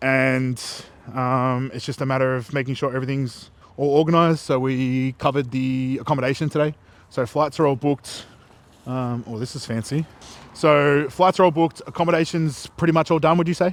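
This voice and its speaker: Fairly quick and fairly even in intonation, a man speaks at a medium pitch in an Australian accent. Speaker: bodybuilder vlogger. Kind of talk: casual vlog chat. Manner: monotone.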